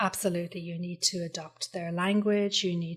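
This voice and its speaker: A woman with an Irish accent, her fairly low voice somewhat breathy. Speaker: copywriter. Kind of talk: podcast interview answer.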